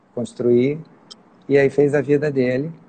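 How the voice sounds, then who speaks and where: A man's fairly high voice at a fairly slow pace. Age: 60s. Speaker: farmer and engineer. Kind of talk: interview. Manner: halting.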